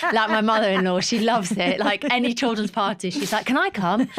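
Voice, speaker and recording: Lively intonation marks a woman's voice heard through noticeable background noise. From northern England, Newcastle area (Geordie). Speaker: model, DJ and presenter, mum of two. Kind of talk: casual chat. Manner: animated.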